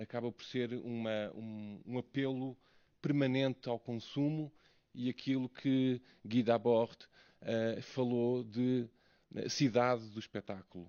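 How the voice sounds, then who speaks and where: A man with a European Portuguese accent speaks at a very slow pace, his medium pitch kept to fairly even intonation. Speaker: academic researcher. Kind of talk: conference talk. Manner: halting.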